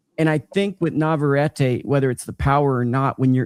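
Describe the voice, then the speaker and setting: A plain, everyday voice from a man, medium in pitch, with ordinary pitch variation, a moderate pace and a dry, close sound with no echo. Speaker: boxing journalist. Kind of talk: casual chat.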